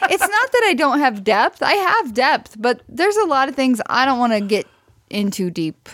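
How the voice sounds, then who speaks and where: A woman's high-pitched voice in an American accent, very wide pitch swings, moderate pace. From US Midwest, near Branson, Missouri. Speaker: podcast co-host. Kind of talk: casual chat. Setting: recording while streaming live on video.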